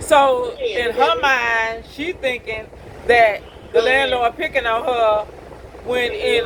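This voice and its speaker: A woman speaks loudly in a high voice with ordinary pitch variation, over noticeable background noise. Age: 50s. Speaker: school bus driver. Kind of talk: casual vlog monologue.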